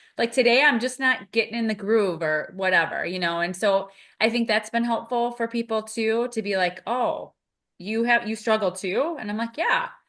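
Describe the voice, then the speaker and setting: A quiet background sits behind speech delivered at a moderate pace. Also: woman, fairly high pitch for a woman, ordinary pitch variation. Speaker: podcast co-host, behavior analyst mentor. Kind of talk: casual podcast conversation. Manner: loud.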